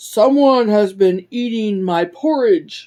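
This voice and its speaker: A female-sounding voice puts on a character voice, pitched fairly high. She speaks at a fairly slow pace. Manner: crying out.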